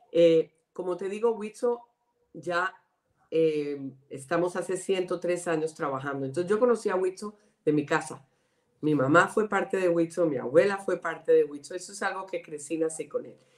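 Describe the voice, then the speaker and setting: With a Colombian accent, a woman speaks in a fairly low pitch, her loudness swinging widely. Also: ordinary pitch variation, moderate pace. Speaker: director of a women's organization. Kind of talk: interview.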